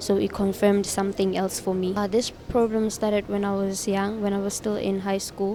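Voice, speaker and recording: Monotone, flat intonation from a woman at a medium pitch. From South Africa, Free State (Thaba Nchu). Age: 20s. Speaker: church member giving testimony. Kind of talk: testimony. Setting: church.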